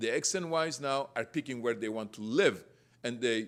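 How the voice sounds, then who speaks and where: Lively intonation and a non-native accent come through on a very clean recording with a silent background. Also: man. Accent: foreign. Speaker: real estate developer and panelist. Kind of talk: panel presentation. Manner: halting, with fillers and self-corrections.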